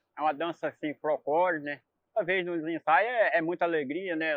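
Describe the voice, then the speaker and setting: At a moderate pace, a man talks with a high pitch. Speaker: congo dancer and cart worker. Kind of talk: documentary interview.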